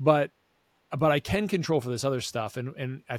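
A normal speaking voice from a man, medium in pitch with ordinary pitch variation and a fairly quick pace, in a very clean recording with a silent background and a dry, close sound with no echo. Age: 40s. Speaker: eye doctor and podcast host. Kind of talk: casual interview.

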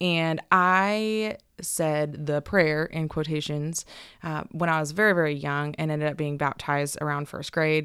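A woman with an American accent speaks in a very deep, low voice at a fairly slow pace. The recording is very clean, with a silent background. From Northern California. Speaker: church worship leader and graphic designer. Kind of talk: testimony.

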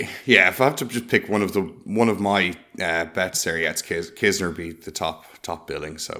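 A man with a very deep, low pitch and a bright, sharp tone talks at a moderate pace with ordinary pitch variation. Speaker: golf betting podcast co-host. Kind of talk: casual chat.

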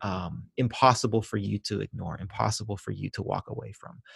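Somewhat breathy, a man talks at a moderate pace with ordinary pitch variation. The sound is dry and close with no echo, over a quiet background. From Venezuela and Ecuador. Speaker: pastor and author. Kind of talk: interview conversation.

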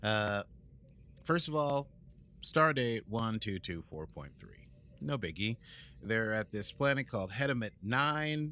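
A man with an American accent speaks at a medium pitch and a very slow pace, with long, frequent pauses, lively intonation and a bright, sharp tone, on a very clean recording with a silent background. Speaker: podcast host. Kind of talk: casual podcast chat, episode recap. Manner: jokey, playful, rambling.

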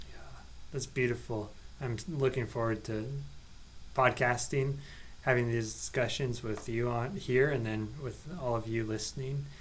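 Over audible room echo, a man speaks slowly-ish at a fairly slow pace in a somewhat breathy, medium-pitched voice with ordinary pitch variation. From Nebraska, US Midwest. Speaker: parish catechist. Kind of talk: casual podcast chat.

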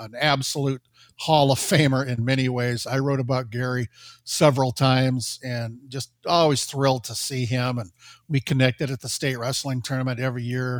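This man has an unremarkable speaking voice at a medium pitch, talking at a moderate pace with fairly even intonation. His loudness swings widely. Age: 60s. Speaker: high school sports journalist. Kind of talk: casual chat. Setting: studio.

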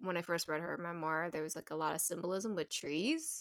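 This woman has a fairly low voice with a bright, sharp tone. Her pitch varies in an ordinary way. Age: 30s. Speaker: podcast host. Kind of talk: casual interview chat. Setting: remote call.

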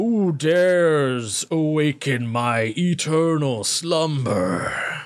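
Booming in a put-on character voice, a man speaks very slowly at a fairly high pitch with hardly any pauses. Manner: commanding, echoing across the area.

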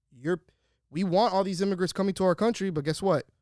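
A man talks at a very fast pace in an animated tone. The sound is dry and close with no echo, a very clean recording with a silent background. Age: 30s. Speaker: podcast co-host. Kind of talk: casual chat.

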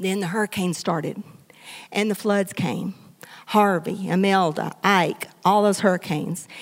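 A woman with a Texan accent speaks at medium pitch and a moderate pace with fairly even intonation. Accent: Southeast Texas Southern. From US South, southeast Texas. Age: 60s. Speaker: pastor. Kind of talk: sermon. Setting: church. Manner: conversational.

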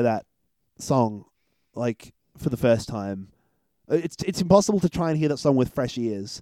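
In an Australian accent, the voice moves at a fairly quick pace with long, frequent pauses, lively intonation, and a dark, mellow tone, in a dry, close sound with no echo. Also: man. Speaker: podcast host, film reviewer. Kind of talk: casual chat.

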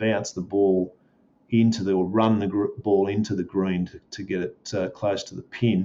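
Speaking with an Australian accent, this man has a fairly low voice. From Melbourne, Australia. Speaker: golf course manager. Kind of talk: interview.

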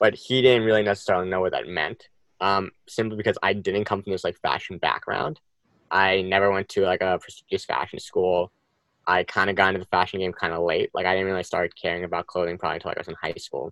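A man with a very deep, low pitch talks at a very fast pace in a dry, close sound with no echo. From US Northeast, New Jersey. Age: 20s. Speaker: fashion designer and brand co-founder. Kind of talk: casual interview.

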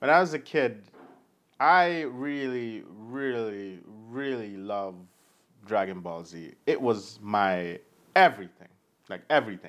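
In a Jamaican accent, a man speaks at medium pitch and a fairly slow pace, with long, frequent pauses. His pitch swings very widely and his loudness shifts a lot. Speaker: podcast co-host. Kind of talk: casual chat with article reading.

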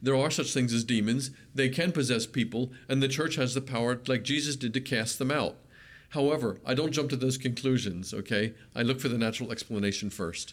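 An unremarkable speaking voice at a fairly quick pace, with ordinary pitch variation and very even loudness. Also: man, medium pitch for a man. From Pennsylvania. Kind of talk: interview.

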